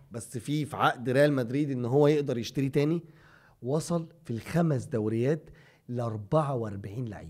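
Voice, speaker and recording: This man's medium-pitched voice shows ordinary pitch variation, and the background is quiet. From Egypt. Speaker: football podcast co-host. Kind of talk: casual chat. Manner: animated. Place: studio. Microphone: studio mic.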